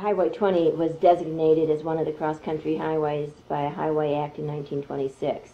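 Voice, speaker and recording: The delivery is monotone with flat intonation and hardly any pauses. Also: woman, very deep, low pitch for a woman. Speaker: artist and interviewer. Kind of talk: interview question, casual conversation.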